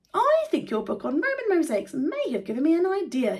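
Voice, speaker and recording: A woman puts on a character voice at high pitch. She moves at a fairly quick pace. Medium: read story. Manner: polite.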